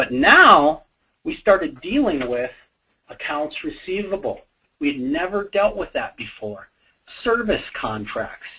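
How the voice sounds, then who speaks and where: A man with a North Dakota accent at a fairly slow pace, with long, frequent pauses. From US Upper Midwest, Fargo, North Dakota. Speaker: software company co-owner presenting. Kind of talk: webinar presentation. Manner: casual, many fillers and repetitions.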